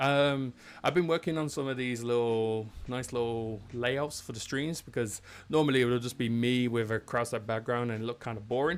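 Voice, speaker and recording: At a moderate pace, an unremarkable speaking voice delivers fairly even intonation. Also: man, medium pitch for a man. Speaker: head of professional services hosting a webinar. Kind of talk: live-streamed technical webinar, casual chat. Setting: live stream from a home studio. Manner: casual, chatty.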